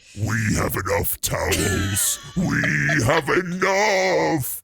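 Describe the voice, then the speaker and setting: In a loud, raspy, put-on character voice, a man speaks very slowly at a fairly high pitch while music plays in the background. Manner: firm, curt.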